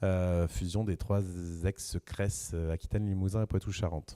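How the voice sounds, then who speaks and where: A man's dark, mellow tone comes at a fairly low pitch with fairly even intonation. The sound is dry and close with no echo, in a very clean recording with a silent background. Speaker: regional development officer. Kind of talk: round table discussion.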